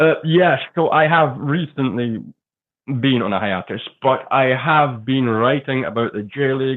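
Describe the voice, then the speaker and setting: A man speaks with a slight Scottish accent. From Scotland. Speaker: football writer. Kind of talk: podcast interview.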